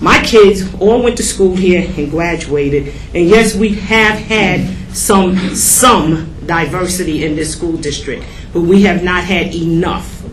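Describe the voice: A woman's slow speech with few pauses, ordinary pitch variation and audible room echo. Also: fairly low pitch for a woman.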